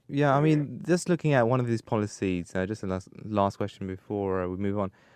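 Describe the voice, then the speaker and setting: In a plain, everyday voice, a man with a fairly low pitch talks at a fairly quick pace with lively intonation against a quiet background. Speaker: radio breakfast show presenter. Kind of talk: radio presenter.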